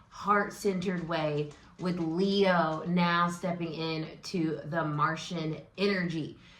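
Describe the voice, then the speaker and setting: An animated, excited tone with ordinary pitch variation, audible room echo and noticeable background noise. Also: woman. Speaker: tarot reader and astrology host. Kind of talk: casual vlog-style tarot and astrology talk. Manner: loud.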